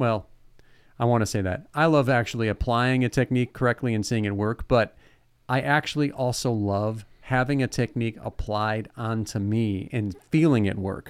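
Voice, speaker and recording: A man's normal speaking voice with an American accent, medium pitch and ordinary pitch variation at a moderate pace, in a very clean recording with a silent background. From Ohio, Lake Erie area. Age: 40s. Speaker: podcast co-host, teacher. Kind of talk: casual chat.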